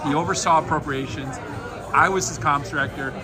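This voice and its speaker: Speaking at a fairly quick pace with an American accent, a man is heard with audible room echo and noticeable background noise. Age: 60s. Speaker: interviewer, journalist. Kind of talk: casual interview chat.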